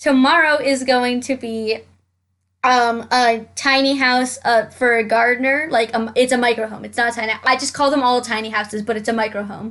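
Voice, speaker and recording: Against a quiet background, a woman speaks loudly at a high pitch with fairly even intonation. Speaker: Sims game YouTuber. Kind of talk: gameplay commentary. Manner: fast.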